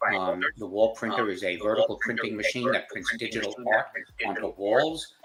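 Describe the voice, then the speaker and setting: A man with a mid-range pitch talks at an even, moderate speed against clearly audible background noise. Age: 70s. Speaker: business founder and CEO. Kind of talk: interview. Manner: hesitant, many fillers.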